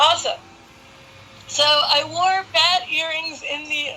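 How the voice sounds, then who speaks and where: A woman speaks in a raised, projected voice. Noticeable background noise runs behind her. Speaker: interviewer. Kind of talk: casual chat.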